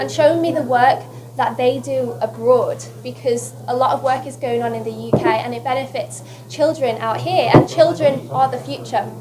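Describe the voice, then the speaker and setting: With a Lancashire accent, a woman speaks at a moderate pace and a fairly low pitch, her voice making very wide pitch swings and big swings in loudness, over noticeable background noise and audible room echo. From northern England, West Lancashire. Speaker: beauty queen. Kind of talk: press conference interview. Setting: press conference. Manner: animated.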